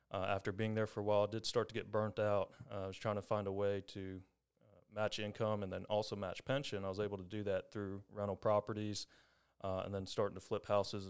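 A man with an American accent talks at a fairly quick pace in a fairly low pitch. The recording is very clean, with a silent background. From Longview, East Texas. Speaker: home inspector. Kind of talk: casual interview.

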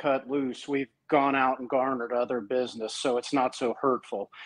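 An unremarkable speaking voice at a moderate pace. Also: man. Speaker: caller, small business owner. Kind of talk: call-in advice conversation.

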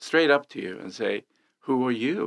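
A man speaks at a moderate pace with a Swedish accent and lively intonation. The sound is dry and close, with no echo. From Sweden. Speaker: real estate agent. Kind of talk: casual chat.

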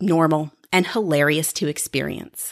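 Recorded very cleanly with a silent background, a woman's fairly low voice comes through dry and close, with no echo. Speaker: podcast host and improviser. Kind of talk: solo monologue podcast. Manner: peppy, friendly; animated.

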